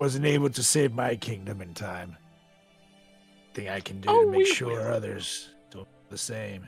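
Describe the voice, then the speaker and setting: A raspy, put-on character voice speaks with long, frequent pauses over faint music in the background. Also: man, medium pitch for a man, moderate pace. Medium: actual play.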